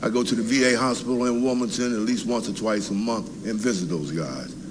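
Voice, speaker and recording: A man speaks at a fairly quick pace with an American accent. There is audible echo in the room. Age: 70s. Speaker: Vietnam veteran, resident speaking at public comment. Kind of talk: public comment at city council meeting. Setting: city council meeting. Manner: halting, many fillers.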